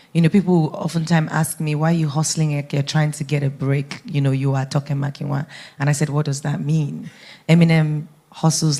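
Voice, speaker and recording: A woman talks at a fairly quick pace in a very deep, low voice that is dark, mellow and somewhat breathy. Her intonation is monotone and flat, in a very clean recording with a silent background. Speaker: radio broadcaster and media entrepreneur. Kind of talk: panel talk.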